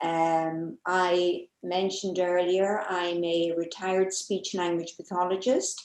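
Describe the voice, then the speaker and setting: Speaking with an Irish accent, a woman talks at a very slow pace in a fairly low, flat monotone with hardly any pauses. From Ireland, Dublin. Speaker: retired speech language pathologist. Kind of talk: self-introduction in meeting.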